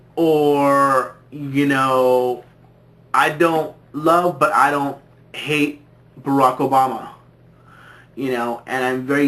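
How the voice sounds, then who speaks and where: A man speaks very slowly with an American accent, his pitch fairly high and his intonation fairly even. Long pauses come often. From California, US. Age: 20s. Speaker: vlogger. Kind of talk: casual vlog monologue. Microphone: low quality camera recording.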